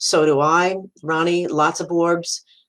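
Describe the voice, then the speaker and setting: A woman with an American accent talks in a fairly low pitch. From US Northeast, Brooklyn, New York. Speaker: psychic medium. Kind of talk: live-stream talk answering viewer comments. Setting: live video stream. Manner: casual, halting with fillers.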